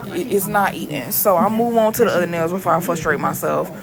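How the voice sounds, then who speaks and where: Over noticeable background noise and audible room echo, a woman speaks at a fairly quick pace. Her pitch varies in an ordinary way. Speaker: nail artist. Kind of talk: tutorial voiceover. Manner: dragging.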